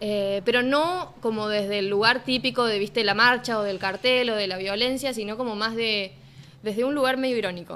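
With a Cordoba accent, a woman speaks at a moderate pace in a fairly high voice with ordinary pitch variation. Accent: Cordoba sing-song. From Argentina, Córdoba. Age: 20s. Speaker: musician. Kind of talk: casual chat.

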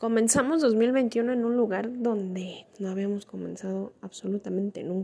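At a moderate pace and with hardly any pauses, a woman talks in a fairly high pitch with a dark, mellow tone and ordinary pitch variation. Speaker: podcaster. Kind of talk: personal monologue. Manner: halting.

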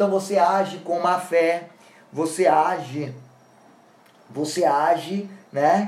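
The speaker goes at a very slow pace, leaving long, frequent pauses. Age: 50s. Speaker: law lecturer. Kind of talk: lecture.

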